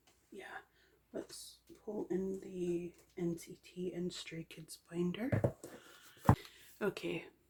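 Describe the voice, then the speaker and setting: Very slow and somewhat breathy, the voice has a dark, mellow tone, fairly even intonation, big swings in loudness, and long, frequent pauses. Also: woman, medium pitch for a woman. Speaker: K-pop photocard collector YouTuber. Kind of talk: casual collection show-and-tell.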